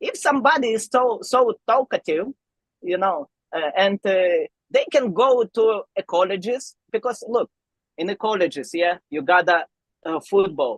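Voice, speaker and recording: Very wide pitch swings in a non-native accent at a fairly slow pace, with a dry, close sound and no echo. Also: woman, fairly high pitch for a woman. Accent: foreign. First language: not English. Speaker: arm wrestler. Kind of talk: podcast interview. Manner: halting.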